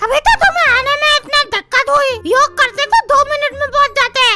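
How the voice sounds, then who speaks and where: A woman uses a cartoonish character voice at an extremely high pitch, with very even loudness and a dry, close sound with no echo. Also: moderate pace. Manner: blunt, crude.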